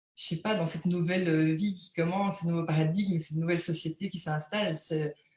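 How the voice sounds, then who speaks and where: A woman's fairly low, monotone voice with flat intonation. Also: fairly quick pace. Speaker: energy healing practitioner. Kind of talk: live interview, spiritual talk. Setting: live video interview. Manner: hesitant, many repeated words.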